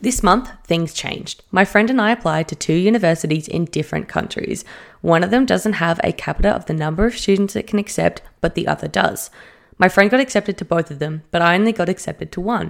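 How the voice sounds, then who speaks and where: A woman speaks in an animated tone at medium pitch. Vocal fry runs through her voice. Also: ordinary pitch variation, fairly quick pace. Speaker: podcast co-host. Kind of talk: casual chat, reading Reddit stories aloud. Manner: animated, excitable.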